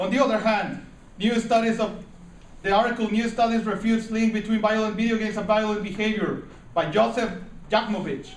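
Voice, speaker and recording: Amid noticeable background noise, a man with a high pitch talks fairly quickly in a monotone, flat intonation. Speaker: college student. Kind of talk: persuasive speech.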